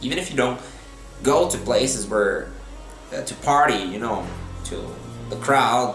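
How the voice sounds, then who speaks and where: Someone speaks in a Brazilian accent with music in the background. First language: Portuguese. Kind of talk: opinion monologue to camera. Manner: serious, slow.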